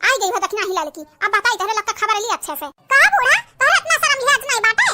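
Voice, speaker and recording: This is a cartoonish character voice at an extremely high pitch. It races along at a very fast pace. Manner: scolding.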